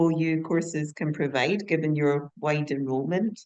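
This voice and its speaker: A woman with a Scottish accent talks at a moderate pace, using ordinary pitch variation. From Scotland. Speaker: conference attendee asking questions. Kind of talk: audience question. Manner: polite, formal.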